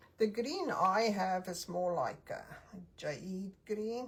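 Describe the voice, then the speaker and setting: Speaking at a very slow pace, a woman has a non-native accent. Her medium-pitched voice is somewhat breathy. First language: not English. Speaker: craft tutorial creator. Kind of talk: tutorial. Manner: casual, thinking aloud.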